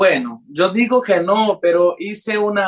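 The voice belongs to a woman. It holds a medium pitch. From Brazilian-Honduran, raised in several countries. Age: young. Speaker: singer. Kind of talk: radio interview. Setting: remote call to radio studio. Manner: hesitant, many fillers.

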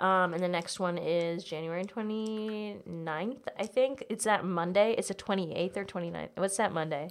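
With hardly any pauses, a woman talks at a moderate pace in an unremarkable speaking voice, medium in pitch with ordinary pitch variation. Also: very clean recording, silent background. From US South. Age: 20s. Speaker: comedian. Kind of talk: casual chat.

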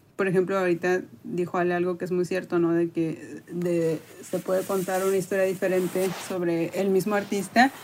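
Fairly even intonation and a moderate pace in an unremarkable speaking voice. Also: woman, medium pitch for a woman. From Mexico, Tampico, Tamaulipas. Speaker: art educator. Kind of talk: casual interview.

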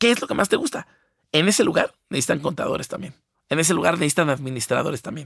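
Speaking very fast with a Mexican accent, this voice swings its pitch very widely, and the sound is dry and close with no echo. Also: man, high pitch for a man. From Mexico. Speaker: designer. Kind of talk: casual chat.

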